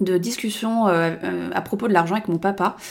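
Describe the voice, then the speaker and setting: Noticeable background noise behind a woman at a moderate pace, her pitch varying in an ordinary way. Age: 30s. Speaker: podcaster. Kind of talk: personal monologue podcast. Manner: casual, hesitant with fillers.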